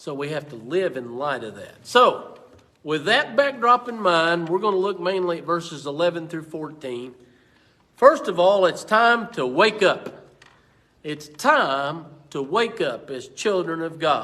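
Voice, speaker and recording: Speaking at a fairly slow pace in a room with audible echo, a man with an American accent uses a high pitch, a bright, sharp tone and very wide pitch swings. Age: 60s. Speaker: pastor. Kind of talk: Bible study teaching. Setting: church. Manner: repetitive, stammering restarts.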